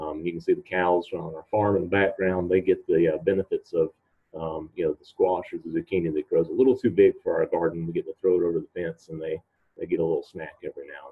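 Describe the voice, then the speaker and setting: A man at a very fast pace, with big swings in loudness. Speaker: presenter. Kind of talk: presentation talk. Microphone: video call.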